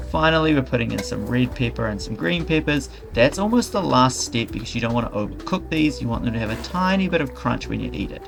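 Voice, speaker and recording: Over music in the background, a man talks at a very fast pace with hardly any pauses. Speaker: cooking youtuber. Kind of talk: tutorial.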